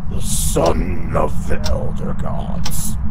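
A man's put-on character voice against loud background noise. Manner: menacing, growling.

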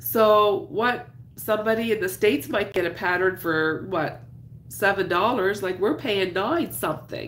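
With vocal fry and lively intonation, a woman of medium pitch speaks at a fairly slow pace. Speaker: crafter and YouTuber. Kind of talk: casual live chat while crocheting. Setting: live stream at home. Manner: casual, chatty, with filler words.

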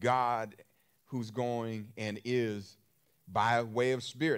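The background is quiet while a man talks. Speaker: preacher. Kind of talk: sermon.

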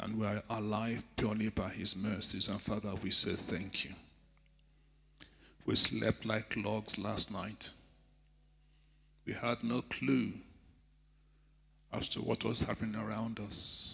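Speaking at a fairly slow pace with long, frequent pauses, a man has vocal fry and a fairly low pitch. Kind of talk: prayer. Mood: reverent, fervent. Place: church. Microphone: handheld.

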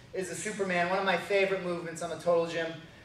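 Delivered at a fairly quick pace in a monotone, flat intonation, the speech carries audible room echo. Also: man. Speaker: fitness trainer. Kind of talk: tutorial. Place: gym.

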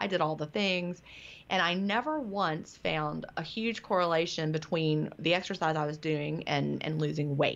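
An unremarkable speaking voice from a woman, fairly low in pitch, at a moderate pace against a quiet background. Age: 50s. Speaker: author. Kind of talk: interview.

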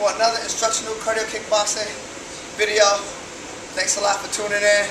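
Over noticeable background noise, a man speaks at a fairly quick pace in a high pitch with monotone, flat intonation. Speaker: fitness instructor. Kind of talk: tutorial. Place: gym. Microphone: camera far.

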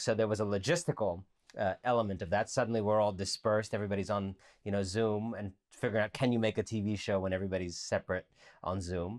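Against a quiet background, a man with a fairly low pitch speaks at a very fast pace. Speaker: author and writer; guest. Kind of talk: interview. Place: home room.

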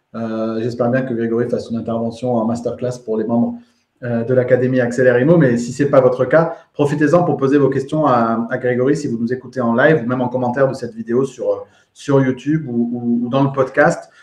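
Amid audible room echo, a man speaks at a fairly quick pace and medium pitch, his intonation monotone and flat. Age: 30s. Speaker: podcast host and real estate trainer; podcast host, real estate trainer. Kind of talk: live interview. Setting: live video stream. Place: home room. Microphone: earbuds.

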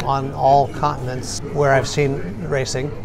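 Noticeable background noise fills the recording. Over it, a man talks. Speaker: interview guest. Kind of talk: interview answer. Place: cafe. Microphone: phone near.

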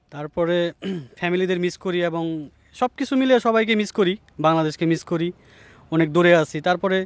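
The sound is dry and close, with no echo. A man speaks in a high pitch. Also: ordinary pitch variation. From Bangladesh, Manikganj. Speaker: embassy chef. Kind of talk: interview.

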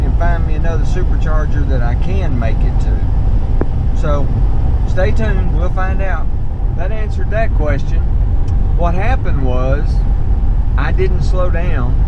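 Speech comes at a fairly slow pace. The sound is dry with no echo, but loud background noise is present. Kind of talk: casual vlog chat. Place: car. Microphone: camera far.

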